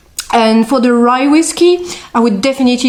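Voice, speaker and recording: With a French accent and a high pitch, a woman speaks over noticeable background noise. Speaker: beer and whisky expert. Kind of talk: interview. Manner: hesitant, many fillers.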